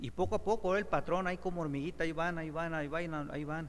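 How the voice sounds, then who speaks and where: A man's fairly high voice at a very fast pace, ordinary pitch variation, audible room echo. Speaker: preacher. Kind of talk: sermon.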